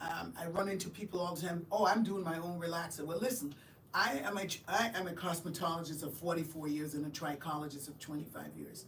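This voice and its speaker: At a fairly quick pace, a woman with a fairly low pitch and ordinary pitch variation is heard amid audible room echo and noticeable background noise. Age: 60s. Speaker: trichologist and cosmetologist. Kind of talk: live-stream interview. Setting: live stream.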